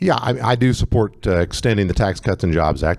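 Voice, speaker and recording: This man talks very fast. He has an American accent. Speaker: congressional candidate. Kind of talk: candidate Q&A at public forum. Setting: event with live audience, using a mic.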